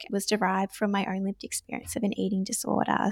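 A woman speaks with an Australian accent. The recording is very clean with a silent background, and the sound is dry and close with no echo. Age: 20s. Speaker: nurse and recovery ambassador. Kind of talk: casual interview.

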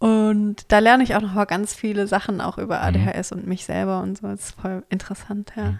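A woman speaks at a moderate pace with hardly any pauses. Her loudness swings a lot. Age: 30s. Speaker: podcast co-host. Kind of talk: casual chat. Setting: co-host's home, sitting on the floor.

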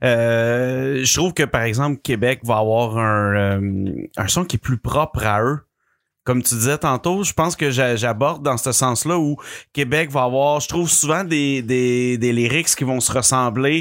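The voice moves at a fairly slow pace with ordinary pitch variation and very even loudness, in a very clean recording with a silent background. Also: man, medium pitch for a man. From Quebec City. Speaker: podcast co-host. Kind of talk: casual chat.

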